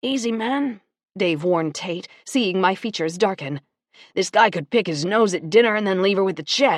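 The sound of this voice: Against a quiet background, the clip carries an unforced reading voice.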